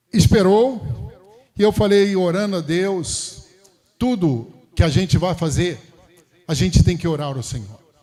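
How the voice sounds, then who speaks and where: A man speaks very slowly in a high voice, his intonation lively. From Brazil, Rio de Janeiro (Campo Grande). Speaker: pastor. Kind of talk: sermon. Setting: church.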